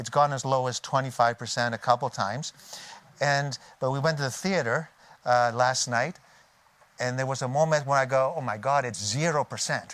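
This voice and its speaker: Here a man speaks with a Canadian accent at a medium pitch. His pace is moderate and his intonation fairly even. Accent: native Canadian. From Canada. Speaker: technology transfer expert. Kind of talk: conference talk. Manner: halting, many fillers and restarts.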